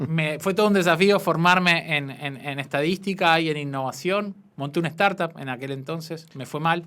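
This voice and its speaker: A man with a strong Buenos Aires accent speaks at a fairly high pitch with fairly even intonation. The recording is very clean, with a silent background. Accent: strong Argentine (Buenos Aires). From Argentina, Buenos Aires. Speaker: entrepreneurship policy official. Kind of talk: interview.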